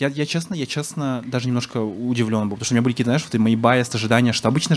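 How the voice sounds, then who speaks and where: The man's medium-pitched voice keeps fairly even intonation against noticeable background noise. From Yakutia (Sakha Republic), Yakutsk. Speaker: blogger-activist. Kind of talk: casual chat. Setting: bar with live audience.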